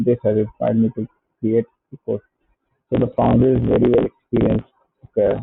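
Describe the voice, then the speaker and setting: A man with an Indian accent talks at a fairly quick pace. He leaves long, frequent pauses. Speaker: software entrepreneur. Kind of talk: casual product review, reading web pages aloud. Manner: hesitant, many filler sounds.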